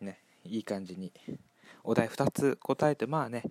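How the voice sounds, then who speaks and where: Swinging very widely in pitch, a man talks at a moderate pace in a dry, close sound with no echo, on a very clean recording with a silent background. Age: 20s. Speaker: solo podcaster. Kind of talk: casual monologue. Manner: calm.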